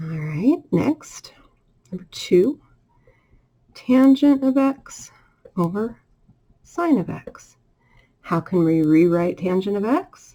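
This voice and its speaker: Very slow, somewhat breathy female voice of medium pitch, dark and mellow in tone, with very wide pitch swings and long, frequent pauses. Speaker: math teacher. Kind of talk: tutorial.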